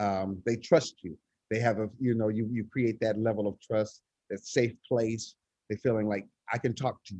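A man with an American accent speaks at a moderate pace and medium pitch, his intonation fairly even. It's a normal speaking voice, captured in a dry, close sound with no echo. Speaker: choir director, nonprofit leader. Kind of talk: casual interview.

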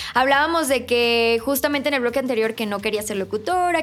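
A woman talks at a fairly quick pace in a high voice. Her pitch varies in an ordinary way, with noticeable background noise. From outside Mexico City. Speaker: podcast host. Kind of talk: casual interview.

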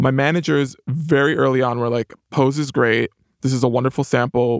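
A man with an American accent speaks at a moderate pace in a medium pitch and fairly even intonation, a plain, everyday voice. The sound is dry and close with no echo, on a very clean recording with a silent background. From New York, the Bronx. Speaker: TV writer and producer. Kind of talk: interview.

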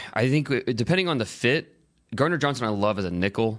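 A normal speaking voice moves at a fairly quick pace with lively intonation. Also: man. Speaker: football draft analyst. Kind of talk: sports podcast discussion.

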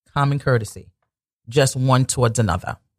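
A man speaks at a moderate pace in a somewhat breathy voice. The recording is dry and close with no echo. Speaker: radio host. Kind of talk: religious talk radio show. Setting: radio studio. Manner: pausing, swallowing often.

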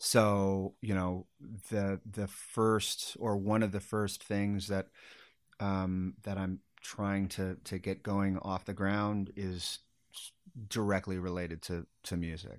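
A man in an American accent, fairly low-pitched and monotone with flat intonation, at a very slow pace on a very clean recording with a silent background. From Sacramento, California. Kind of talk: casual interview chat.

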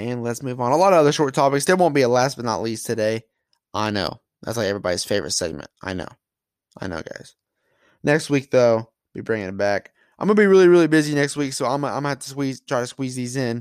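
A man speaks at a very fast pace, medium in pitch, with lively intonation. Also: very clean recording, silent background. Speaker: solo sports podcast host. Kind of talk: casual solo sports talk. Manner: mumbling at times; casual, conversational.

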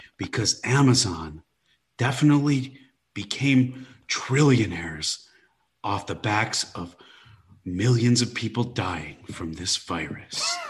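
Somewhat breathy and medium in pitch, a man talks at a very slow pace with lively intonation and long, frequent pauses. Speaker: stand-up comedian. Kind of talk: casual interview chat. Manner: jokey, self-deprecating.

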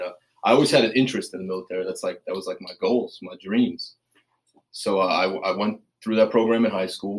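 A man with an American accent at a fairly quick pace, with big swings in loudness. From Staten Island, New York. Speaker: Marine Corps veteran in recovery. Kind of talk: casual interview.

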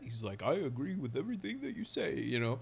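A man with a medium-pitched voice talks fairly quickly. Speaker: podcast co-host. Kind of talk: casual banter. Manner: animated.

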